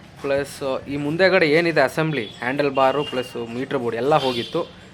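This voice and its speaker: Noticeable background noise accompanies a man talking at a medium pitch. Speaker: motorbike vlogger. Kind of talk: vlog walkthrough. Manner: casual, filler-heavy.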